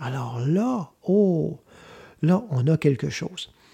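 Slowly and somewhat breathily, a man speaks at a fairly high pitch with lively intonation. His tone is dark and mellow, and his pace very slow. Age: 50s. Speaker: radio host. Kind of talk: spiritual talk show monologue. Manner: halting.

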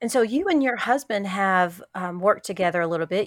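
A woman speaks in a normal speaking voice, medium in pitch, with ordinary pitch variation and a fairly quick pace. The recording is very clean, the background silent. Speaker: podcast host. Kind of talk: interview conversation.

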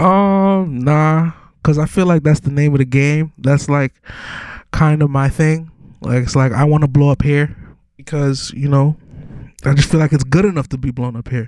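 Using long, frequent pauses, a man speaks at a fairly high pitch with fairly even intonation. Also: moderate pace. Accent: New York. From New York City, Brooklyn. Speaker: rapper. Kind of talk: casual interview.

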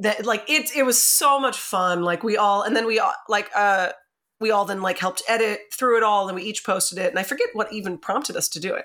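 A woman's fairly high voice, an unremarkable speaking voice, at a fairly quick pace with ordinary pitch variation, in a very clean recording with a silent background. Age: 30s. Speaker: fanfiction author and audiobook narrator. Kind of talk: casual interview. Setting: home podcast setup.

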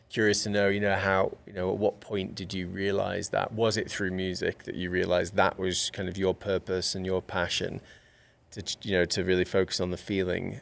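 The speaker has a London accent. Delivery is fairly quick and monotone, with flat intonation. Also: man. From England. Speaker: podcast co-host. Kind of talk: casual interview.

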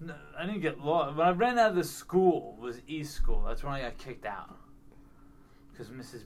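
Amid audible room echo, a man with a fairly high pitch talks at a moderate pace, his pitch swinging very widely. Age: 40s. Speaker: podcast host. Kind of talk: casual chat. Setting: at his mother's home with a portable mic.

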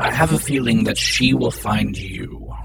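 At a moderate pace, a man delivers a put-on character voice while loud background noise fills the clip. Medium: actual play. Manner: dry, wry.

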